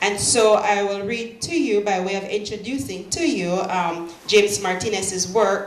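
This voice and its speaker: The voice moves at a fairly slow pace with ordinary pitch variation. Audible room echo and noticeable background noise are present. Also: woman. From Belize. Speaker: poet. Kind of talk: poetry reading with introduction. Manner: hesitant, many fillers.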